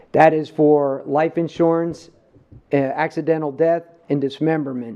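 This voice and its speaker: In a New Jersey accent, the speaker talks at a moderate pace in a flat monotone. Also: man. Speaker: police chief presenting budget. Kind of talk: budget presentation at public meeting. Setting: county government meeting.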